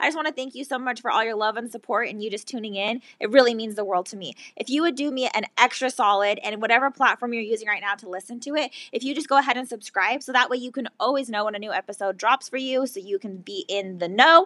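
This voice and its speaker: A woman speaks loudly in a bright, sharp, animated tone and a fairly high pitch. She goes very fast with hardly any pauses, on a very clean recording with a silent background. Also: ordinary pitch variation. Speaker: self love coach and podcast host. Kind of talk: casual interview chat; podcast outro.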